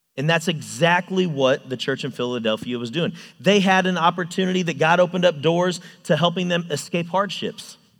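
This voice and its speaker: High in pitch with ordinary pitch variation, a man speaks at a fairly quick pace in a very clean recording with a silent background. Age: 30s. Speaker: youth ministry volunteer and construction manager. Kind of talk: sermon.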